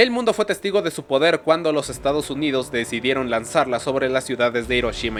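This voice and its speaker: Music plays behind a man with a medium pitch. He talks very fast, his intonation lively. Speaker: history youtuber. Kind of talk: scripted narration.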